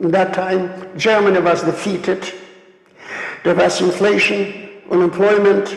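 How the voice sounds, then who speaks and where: This man's high-pitched voice carries audible room echo, with noticeable background noise behind it. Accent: strong Polish. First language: Polish. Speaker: Holocaust survivor speaker. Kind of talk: lecture. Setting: stage with audience. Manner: slow; halting.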